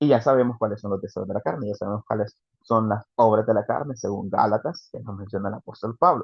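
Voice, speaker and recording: This man talks very fast. His voice sits fairly low. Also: ordinary pitch variation. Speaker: preacher. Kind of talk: sermon. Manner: animated.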